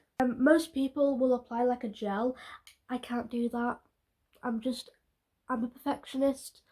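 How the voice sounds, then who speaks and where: A woman with a British accent speaks at a fairly slow pace in a high pitch and dark, mellow tone. Her intonation is flat and monotone, with long, frequent pauses. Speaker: beauty vlogger. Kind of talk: casual talk to camera.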